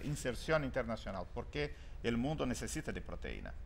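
A man with a Portuguese accent, with light background noise. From Brazil, Rio Grande do Sul. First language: Portuguese (speaking Spanish). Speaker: ambassador; guest. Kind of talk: TV interview. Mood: calm, measured. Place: studio. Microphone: lapel.

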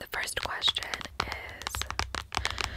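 Someone whispers in a playful tone. Noticeable background noise sits behind the voice. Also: woman. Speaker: ASMR content creator. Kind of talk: ASMR trigger video, casual talk to camera. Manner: soft, repetitive, playful.

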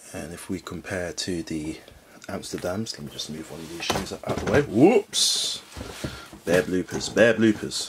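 Delivered at a moderate pace, the speech swings widely in loudness over noticeable background noise. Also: man. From London, England. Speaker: sneaker reviewer YouTuber. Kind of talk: product review. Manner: enthusiastic, repetitive. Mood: upbeat enthusiastic. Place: home room.

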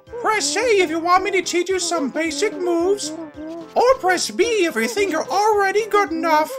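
A man speaks in a put-on character voice with hardly any pauses. Music is clearly audible in the background. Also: moderate pace. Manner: helpful, instructive, excited.

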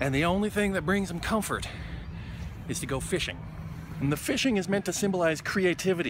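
Over noticeable background noise, the speaker talks at a fairly quick pace with ordinary pitch variation. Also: man, high pitch for a man, dry sound with no echo. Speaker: vlogger. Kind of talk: casual vlog chat. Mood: wry, reflective. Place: garden. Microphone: phone near.

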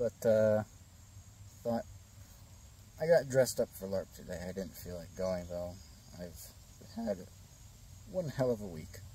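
A man with a fairly low pitch and a dark, mellow tone talks somewhat breathily at a fairly slow pace, with ordinary pitch variation. His loudness swings widely, long pauses come often, and the sound is dry with no echo. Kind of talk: casual vlog chat. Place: garden. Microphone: phone near.

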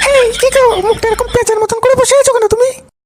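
A woman's squeaky, cartoonish character voice at an extremely high pitch, very fast and monotone, with flat intonation and very even loudness

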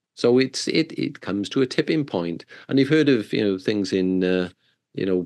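A man speaks with a British accent and a fairly low pitch. The background is quiet. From southern UK. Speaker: corporate wellness coach. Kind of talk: podcast interview. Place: home room. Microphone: video call.

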